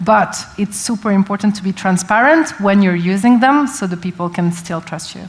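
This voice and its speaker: The speaker has a non-native accent and talks at a moderate pace with hardly any pauses. Pitch variation is ordinary, with big swings in loudness. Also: woman, medium pitch for a woman. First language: not English. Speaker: tech company representative. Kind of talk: panel discussion.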